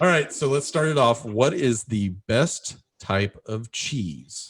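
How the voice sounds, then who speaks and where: Speaking at a very slow pace, a man sounds somewhat breathy and uses lively intonation. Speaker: podcast host. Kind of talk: casual chat.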